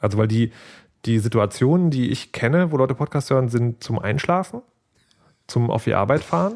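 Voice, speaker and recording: The recording is very clean with a silent background. A man speaks at a fairly quick pace. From Saxony, Dresden. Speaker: podcast host. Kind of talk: casual chat.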